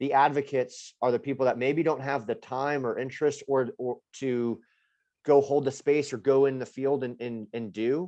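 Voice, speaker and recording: Against a quiet background, a man talks at medium pitch with ordinary pitch variation. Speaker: program organizer. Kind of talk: group video call discussion. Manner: fast.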